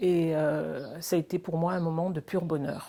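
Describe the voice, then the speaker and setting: Very slowly, a woman speaks in a dark, mellow tone at a fairly low pitch with fairly even intonation. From Madagascar. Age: 70s. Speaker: charity volunteer and sponsor. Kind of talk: testimony. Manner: hesitant, many fillers.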